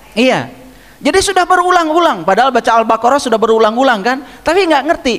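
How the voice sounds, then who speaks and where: Amid noticeable background noise, a man talks at a very fast pace in an extremely high voice with very wide pitch swings. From West Java (Garut, Sunda). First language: Sundanese (speaking Indonesian). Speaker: religious teacher. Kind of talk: religious lecture.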